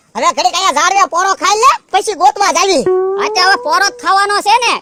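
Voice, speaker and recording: The pace here is moderate. It's a cartoonish character voice pitched extremely high. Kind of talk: comic cartoon acting. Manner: complaining, rustic.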